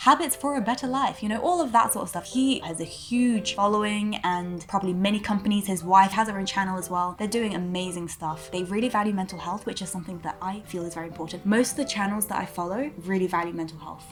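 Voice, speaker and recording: Over music in the background, a woman talks at a very fast pace with hardly any pauses, a medium pitch and ordinary pitch variation. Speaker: YouTuber. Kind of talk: casual chat.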